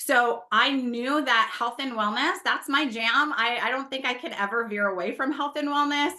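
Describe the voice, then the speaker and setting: Loud and animated, a woman talks in a New Jersey accent with a bright, sharp tone. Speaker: network marketing leader and former nurse. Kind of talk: motivational talk to an audience.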